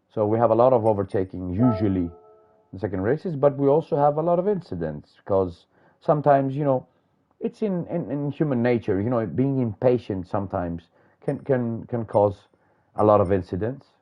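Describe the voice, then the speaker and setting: A man speaks at medium pitch with a non-native accent. His intonation is lively. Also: fairly quick pace. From Greece. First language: Greek. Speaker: sim racing commentator. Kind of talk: live commentary. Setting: live stream broadcast. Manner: hesitant, many fillers.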